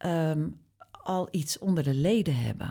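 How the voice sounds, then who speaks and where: The speaker has a dark, mellow tone, ordinary pitch variation and a very slow pace. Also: woman. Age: 50s. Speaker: beauty journalist and publisher. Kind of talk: casual chat.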